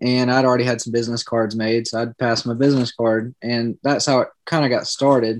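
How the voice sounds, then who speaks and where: A man at medium pitch with a Southern US accent, fairly quick and flat in a monotone, in a dry, close sound with no echo. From South Carolina. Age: 20s. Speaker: business owner. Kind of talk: casual interview.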